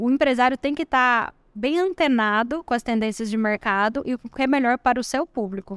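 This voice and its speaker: A woman, high in pitch, with ordinary pitch variation, at a moderate pace with hardly any pauses, in a very clean recording with a silent background and a dry, close sound with no echo. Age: 30s. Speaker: digital marketing entrepreneur. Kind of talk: interview. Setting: event studio at a college entrance.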